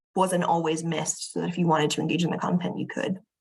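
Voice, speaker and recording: With an American accent, a woman talks at a very fast pace in a fairly low pitch, her voice showing vocal fry. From United States. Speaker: museum curator. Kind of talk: conference presentation. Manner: hesitant fillers.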